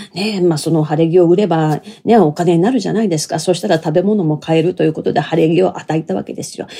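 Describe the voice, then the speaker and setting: Against noticeable background noise, a woman talks at a very fast pace with hardly any pauses, using a fairly low pitch and ordinary pitch variation. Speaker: storyteller (kodan performer) and narrator. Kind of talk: casual solo talk. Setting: home bedroom. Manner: lively.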